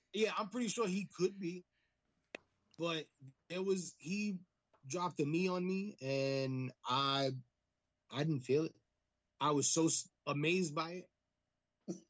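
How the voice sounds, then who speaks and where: Speaking at a fairly slow pace with long, frequent pauses, a man with an American accent uses a high pitch and ordinary pitch variation. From US Northeast. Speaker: pro wrestler. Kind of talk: casual chat.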